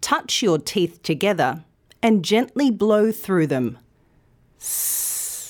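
The recording is very clean, and the background is silent. The speech unfolds at a very slow pace. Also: woman. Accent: Australian. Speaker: news presenter and pronunciation teacher. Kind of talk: scripted tutorial. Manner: clear, careful enunciation.

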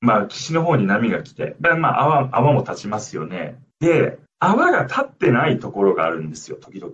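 This man speaks at a moderate pace, his loudness swinging widely. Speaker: linguistics researcher and former lifeguard. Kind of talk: radio interview. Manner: hesitant, many fillers.

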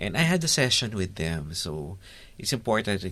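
A man with a very deep, low pitch and a bright, sharp tone speaks at a moderate pace. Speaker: geriatrician. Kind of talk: interview.

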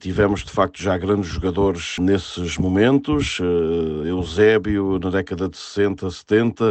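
Speaking at a very slow pace, a man with a very deep, low pitch keeps his intonation fairly even. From Portugal, inland Algarve. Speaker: sports journalist. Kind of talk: interview. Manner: halting.

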